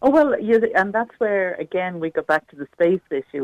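In an Irish accent, a woman talks at a fairly quick pace with lively intonation, the sound dry and close with no echo. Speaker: caller. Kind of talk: radio phone-in discussion. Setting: phone call.

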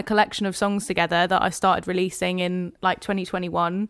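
A woman with a southern English accent at a very fast pace, on a very clean recording with a silent background. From Hertfordshire, England. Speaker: singer-songwriter and keys player. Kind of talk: casual interview.

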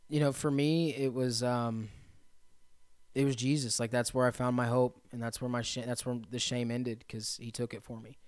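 With a Midwestern American accent, a man speaks at a moderate pace in a medium pitch and monotone, flat intonation, on a very clean recording with a silent background. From central Indiana. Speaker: recovery residence operator, person in recovery. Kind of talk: testimony.

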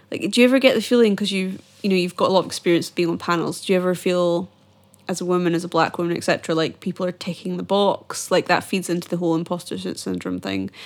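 On a very clean recording with a silent background, a woman with a Scottish accent talks very fast in a fairly low voice with fairly even intonation. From Scotland, Edinburgh. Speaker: podcast host. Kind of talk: casual interview.

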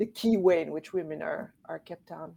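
A woman's fairly low-pitched voice with a dark, mellow tone and vocal fry, at a fairly quick pace. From Quebec City, Canada. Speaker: feminist advocate and founder. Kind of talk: interview.

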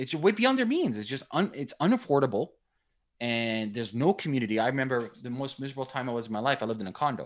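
At a very fast pace, a man talks with lively intonation at a medium pitch. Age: 30s. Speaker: entrepreneur. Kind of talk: casual chat. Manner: animated.

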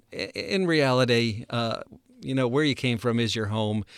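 Captured on a very clean recording with a silent background, an ordinary speaking voice moves at a moderate pace with an American accent. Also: man. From United States. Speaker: missions podcast host, former missionary. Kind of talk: casual chat.

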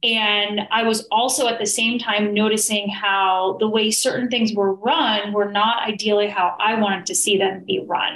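A woman with an American accent speaks in an unremarkable speaking voice, fairly high in pitch, at a moderate pace with hardly any pauses, fairly even intonation and very even loudness. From New York City. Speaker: business coach. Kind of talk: interview.

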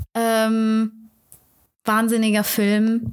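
This woman speaks at a very slow pace in a fairly high pitch. Her intonation is monotone and flat. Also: very clean recording, silent background. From Germany, Turkish family. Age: 30s. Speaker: actress, singer and vocal coach. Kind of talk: casual chat.

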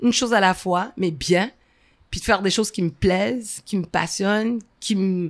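Moderate pace and ordinary pitch variation from a woman at a medium pitch. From Montreal, Saint-Michel (Quebec), Haitian heritage. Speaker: event founder and former comedian. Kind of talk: interview conversation. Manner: animated, laughing.

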